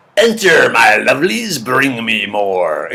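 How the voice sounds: Fairly slow pacing in a raspy put-on character voice. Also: man, medium pitch for a man.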